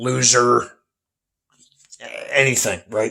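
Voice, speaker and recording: A man with a medium-pitched voice speaks very slowly. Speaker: vlogger. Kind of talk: casual vlog monologue. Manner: soft-spoken, keeping voice down; halting, repeats words.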